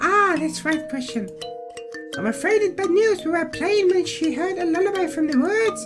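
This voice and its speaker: A squeaky, put-on character voice at an extremely high pitch and a moderate pace, with music in the background. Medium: solo performance.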